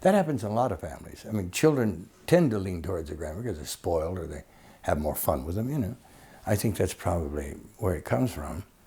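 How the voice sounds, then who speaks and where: A man with a very deep, low, dark and mellow voice speaks very fast and somewhat breathily, with very wide pitch swings and big swings in loudness. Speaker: actor. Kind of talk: interview answer. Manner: colloquial storytelling, humorous.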